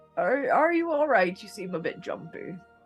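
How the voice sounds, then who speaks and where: Faint music plays behind a put-on character voice that sits fairly high and swings very widely in pitch. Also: moderate pace. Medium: actual play. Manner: friendly, chatty.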